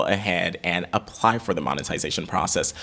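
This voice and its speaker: There is noticeable background noise as a man talks in an animated tone. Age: 20s. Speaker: YouTube content creator. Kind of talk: tutorial. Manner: fast.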